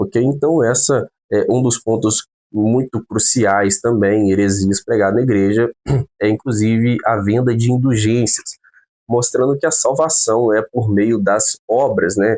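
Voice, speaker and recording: A man talks at a fairly slow pace in a medium pitch, with a dark, mellow tone and ordinary pitch variation. His loudness stays very even, and the sound is dry and close with no echo. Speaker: theology teacher. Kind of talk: lecture.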